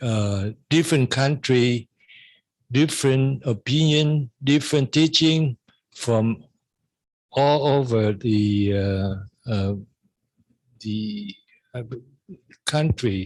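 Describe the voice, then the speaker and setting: The pace is very slow, with long, frequent pauses. Pitch varies in an ordinary way against a quiet background. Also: man. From Vietnam. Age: 70s. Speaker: Buddhist Dharma speaker. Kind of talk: dharma talk. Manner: halting.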